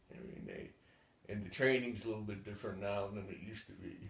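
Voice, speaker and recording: A man speaks with a fairly low pitch and a somewhat breathy quality. Audible room echo surrounds his voice. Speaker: war veteran. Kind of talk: oral history interview. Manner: halting, many repetitions and fillers.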